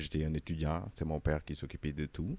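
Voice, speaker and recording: A fairly quick, very deep and low male voice on a very clean recording with a silent background. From Senegal. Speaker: interviewee, immigrant. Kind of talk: casual interview. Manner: hesitant, many fillers.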